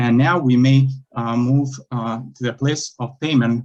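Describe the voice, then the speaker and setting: A man speaks with a Lithuanian accent. His intonation stays fairly even. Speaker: self-represented appellant. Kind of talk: appellate oral argument. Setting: courtroom. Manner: halting, many fillers.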